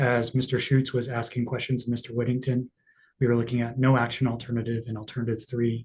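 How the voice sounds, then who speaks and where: A man's medium-pitched, somewhat breathy voice with a monotone, flat intonation. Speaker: expert witness. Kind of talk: hearing testimony. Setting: public hearing. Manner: quiet, hard to hear; halting.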